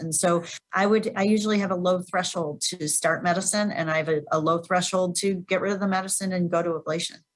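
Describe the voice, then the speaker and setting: Fairly quick and fairly even in intonation, a woman talks at a medium pitch in an ordinary speaking voice. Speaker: cardiac electrophysiologist. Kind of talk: webinar Q&A. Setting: webinar.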